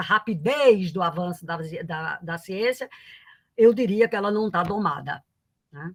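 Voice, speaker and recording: Ordinary pitch variation in a woman's medium-pitched speech. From Paraíba, Northeast Brazil. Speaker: economics professor. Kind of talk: lecture. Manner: halting, many fillers.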